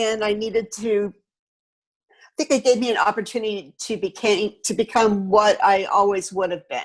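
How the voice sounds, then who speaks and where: With an ordinary speaking voice, a woman speaks at a moderate pace in a fairly high pitch with fairly even intonation. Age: 60s. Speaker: painter and sculptor. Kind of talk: interview. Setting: video call.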